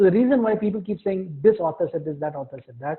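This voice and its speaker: Lively intonation runs through a man's high-pitched voice. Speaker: philosophy professor. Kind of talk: lecture. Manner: fast.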